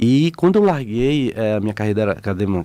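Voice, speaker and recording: On a very clean recording with a silent background, a man speaks fairly quickly in a fairly low pitch with a dark, mellow tone. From Bahia, Brazil. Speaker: photographer and explorer. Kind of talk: radio interview.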